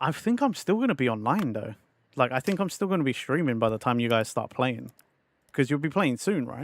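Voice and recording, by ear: A man puts on a croaky character voice at a medium pitch, speaking at a fairly quick pace.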